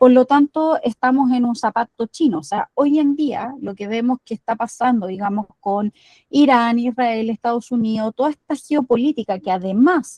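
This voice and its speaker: Dark and mellow in tone, the voice speaks with a Chilean accent, ordinary pitch variation, and hardly any pauses, in a dry, close sound with no echo. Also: woman, high pitch for a woman, moderate pace. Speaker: climate activist. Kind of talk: lecture.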